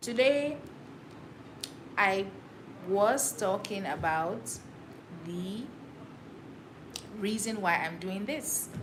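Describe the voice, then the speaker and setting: Talking at a very slow pace, a woman uses a medium pitch and lively intonation, with long, frequent pauses. Audible room echo surrounds her voice. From Cameroon, Douala. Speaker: livestreamer. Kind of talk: casual solo livestream talk. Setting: livestream to camera.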